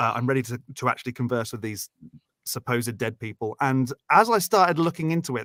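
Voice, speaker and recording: This man speaks with a British accent at medium pitch. His pace is fairly quick and his pitch variation ordinary. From Britain. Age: 30s. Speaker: guest and stand-in co-host on call-in show. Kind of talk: casual chat. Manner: halting, many fillers.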